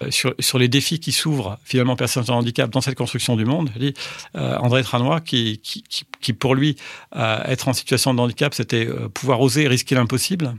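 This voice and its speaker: A man speaks at medium pitch and a fairly quick pace, with ordinary pitch variation. The sound is dry and close with no echo, in a very clean recording with a silent background. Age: 60s. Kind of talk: personal testimony interview. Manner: halting, with many repetitions.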